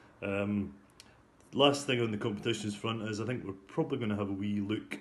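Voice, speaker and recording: With a Scottish accent, a man speaks at a fairly low pitch. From Scotland. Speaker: golf club captain. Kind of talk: club news update. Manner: hesitant, many fillers.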